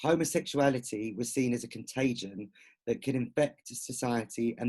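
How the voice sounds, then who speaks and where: A man speaks at a medium pitch in a dark, mellow tone. His pace is fairly slow, with ordinary pitch variation. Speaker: author and queer activist. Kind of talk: online discussion talk; reading prepared notes.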